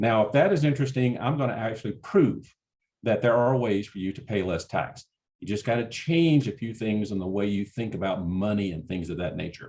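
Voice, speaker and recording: Dark and mellow in tone, a man speaks at a fairly low pitch in a Southern US accent. His pitch variation is ordinary. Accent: Southern drawl. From US South, Alabama. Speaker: certified exit planner, tax presenter. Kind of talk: webinar presentation. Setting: webinar, online. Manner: casual, joking.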